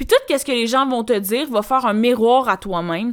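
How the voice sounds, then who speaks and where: A woman speaks with a Quebec accent at a fairly high pitch. Her intonation is lively. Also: very clean recording, silent background. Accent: Québécois French. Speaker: podcast host, personal development coach. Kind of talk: solo podcast monologue. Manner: casual, filler-heavy.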